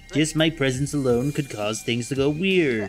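Over clear background music, a woman uses a put-on character voice pitched very deep and low. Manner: friendly, explanatory, wry.

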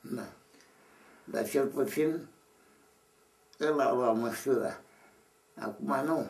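Very slowly, with long and frequent pauses, a man speaks at a fairly high pitch. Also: ordinary pitch variation. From Romania. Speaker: Orthodox monk elder. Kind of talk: interview answer. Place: home room. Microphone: camera far.

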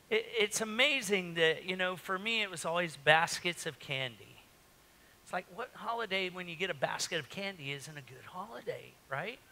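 A man speaks in a raised, projected voice with a bright, sharp tone. His loudness swings widely while he keeps a moderate pace. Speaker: pastor. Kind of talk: sermon. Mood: jovial, joking. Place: church.

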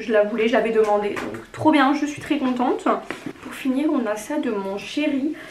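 There is noticeable background noise and audible room echo. A woman with a high pitch speaks at a moderate pace with lively intonation. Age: 20s. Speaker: lifestyle YouTuber. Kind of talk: casual vlog, gift haul.

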